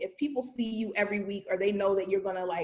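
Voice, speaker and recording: A woman with an American accent, a normal speaking voice, medium pitch and ordinary pitch variation. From Virginia, US. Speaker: voter registration trainer. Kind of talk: training presentation.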